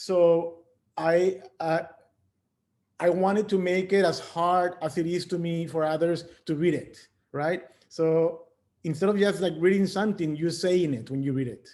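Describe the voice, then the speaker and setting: Speaking with a non-native accent, this man has a high pitch and fairly even intonation. Long, frequent pauses break up his speech. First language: not English. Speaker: artist. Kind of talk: artist talk on video call. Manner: halting, many repeated words.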